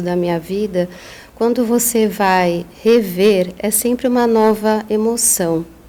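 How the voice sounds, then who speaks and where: Here a woman is talking. Her pitch rises and falls in an ordinary way. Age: 50s. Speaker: psychologist and author. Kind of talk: podcast interview.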